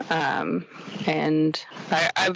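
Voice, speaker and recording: A woman with a Canadian accent talks over noticeable background noise. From Quebec, Canada. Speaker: ironworker. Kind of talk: casual interview. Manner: hesitant, many fillers.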